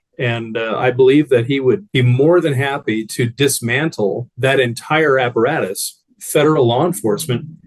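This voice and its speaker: Using a normal speaking voice, a man with an American accent talks at medium pitch and a moderate pace, with ordinary pitch variation and hardly any pauses. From Arizona. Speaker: former Republican voter giving testimony. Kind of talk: testimony.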